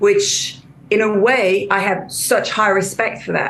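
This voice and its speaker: A woman's voice with a slight French accent, noticeable background noise and audible room echo. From France. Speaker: career coach. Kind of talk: interview. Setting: video call. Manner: halting, many repetitions.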